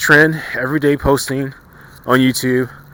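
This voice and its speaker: A man's fairly high voice comes through with noticeable noise in the background. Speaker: YouTube commentator. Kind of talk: casual vlog commentary. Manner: fast; energetic.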